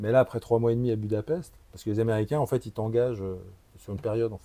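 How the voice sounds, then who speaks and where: A man with a dark, mellow tone and medium pitch speaks at a very fast pace, with ordinary pitch variation and big swings in loudness. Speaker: actor. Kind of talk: casual chat. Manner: halting; animated.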